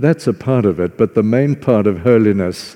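A man speaks with a dark, mellow tone. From Zimbabwe (former Southern Rhodesia), farm. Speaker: visiting preacher. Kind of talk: sermon. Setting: church.

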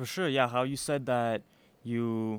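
A man at a fairly quick pace with fairly even intonation, dry and close with no echo, in a very clean recording over a silent background. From Chicago, US (born in Belarus). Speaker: church youth member. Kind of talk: interview answers. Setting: youth conference.

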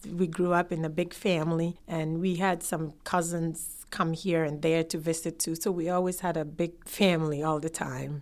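A woman at fairly low pitch and moderate pace, monotone and flat in intonation, on a very clean recording with a silent background. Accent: Ghanaian. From Ghana. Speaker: immigrant sharing life story. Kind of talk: oral history interview.

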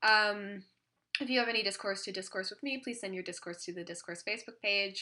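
Against a quiet background, a woman with a Canadian accent talks fairly quickly at a medium pitch in a bright, sharp tone. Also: ordinary pitch variation. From Ontario, Canada. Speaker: podcast host. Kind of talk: casual chat. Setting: at home, cat on lap.

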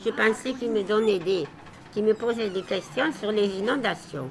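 A woman is speaking. Noticeable background noise runs underneath her. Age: 80s. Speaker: retired village grocer, elderly resident. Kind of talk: interview with children, reminiscing.

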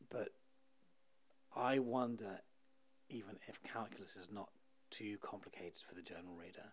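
Pausing long and often, a man with a British accent speaks at a fairly low pitch with ordinary pitch variation. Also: moderate pace, big swings in loudness. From UK. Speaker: author and journalist. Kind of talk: interview.

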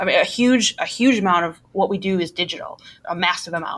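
A woman at medium pitch and a fairly quick pace, with a slight Milwaukee accent. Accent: Milwaukee Midwestern, slight. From Milwaukee, US Midwest. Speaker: marketing executive. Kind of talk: casual interview.

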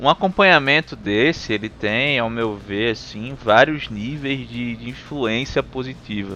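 A man speaks at a medium pitch and a fairly slow pace with ordinary pitch variation and hardly any pauses, music playing in the background. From Recife, Brazil. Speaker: podcast host. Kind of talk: casual chat.

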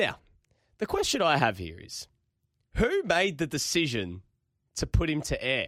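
Here a man speaks with an Australian accent. He goes at a fairly slow pace, with long, frequent pauses. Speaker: football radio host. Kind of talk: casual chat.

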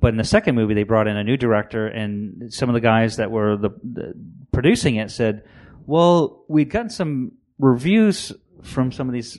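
In a plain, everyday voice, a man with an American accent talks at a moderate pace and medium pitch, with ordinary pitch variation and a quiet background. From Maine, US. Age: 50s. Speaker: comic book creator. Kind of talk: interview.

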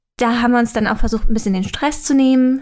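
Monotone, flat intonation from a woman with a fairly high pitch. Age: 20s. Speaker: YouTuber. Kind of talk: casual chat.

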